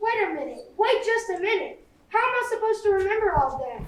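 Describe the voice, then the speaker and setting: A woman in a put-on character voice squeaks at an extremely high pitch and a very fast pace, her intonation lively, with a slight echo. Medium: stage play.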